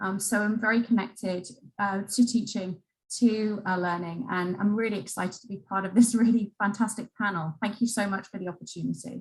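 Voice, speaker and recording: A woman's somewhat breathy, medium-pitched voice with an English accent, fairly quick and fairly even in intonation. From England. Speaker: museum education executive. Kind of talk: panel introduction.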